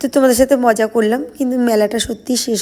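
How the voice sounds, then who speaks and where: The woman's tone is dark and mellow. Her intonation stays monotone and flat. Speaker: vlogger. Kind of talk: casual vlog narration. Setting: outdoors at a crowded fair.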